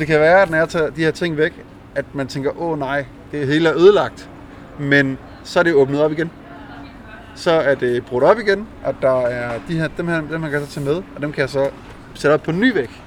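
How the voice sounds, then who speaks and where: A man with a fairly high pitch and ordinary pitch variation speaks at a fairly quick pace, noticeable background noise behind him. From Denmark, Jutland (small town). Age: 30s. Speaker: visual artist and graffiti painter. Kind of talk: casual interview.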